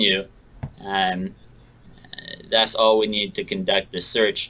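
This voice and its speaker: A man with an American accent at a fairly slow pace over noticeable background noise. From Seattle, US Pacific Northwest. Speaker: memorabilia photo matching business owner. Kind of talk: interview.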